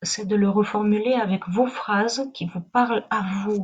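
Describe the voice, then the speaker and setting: Very slowly, a woman speaks with a somewhat breathy voice and fairly even intonation. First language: not French (speaking French). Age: 40s. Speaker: spiritual wellness teacher. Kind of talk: live online talk. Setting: livestream. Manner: halting.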